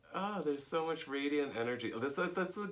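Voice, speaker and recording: Audible room echo around a man speaking at a moderate pace. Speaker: yoga teacher. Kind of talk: casual chat.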